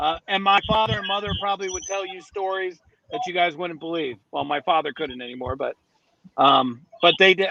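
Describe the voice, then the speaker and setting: With music in the background, a man with a northern US accent talks at a fairly quick pace with lively intonation. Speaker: finance professional and podcast guest. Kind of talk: casual interview chat.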